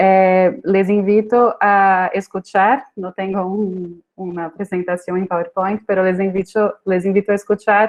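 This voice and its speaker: A woman speaks at a fairly slow pace with hardly any pauses. Her medium-pitched voice stays monotone and flat. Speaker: screenwriting professor. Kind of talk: conference talk. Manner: hesitant, many fillers.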